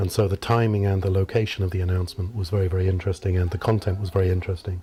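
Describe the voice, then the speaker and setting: A man speaks with a British accent at a very deep, low pitch, in a dark, mellow, somewhat breathy tone. His intonation stays monotone and flat on a very clean recording with a silent background. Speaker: professor. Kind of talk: interview. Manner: formal.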